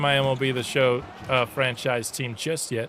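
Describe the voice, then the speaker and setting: The man speaks at a medium pitch. Noticeable background noise can be heard. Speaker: gaming streamer. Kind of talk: live gameplay commentary. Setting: live stream. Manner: animated.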